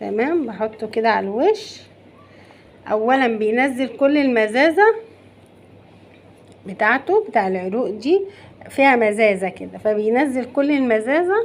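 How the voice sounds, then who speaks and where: Her voice is high, with lively intonation, at a fairly slow pace. This woman leaves long, frequent pauses. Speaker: cooking channel host. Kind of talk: cooking tutorial. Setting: home kitchen. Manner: loud; animated.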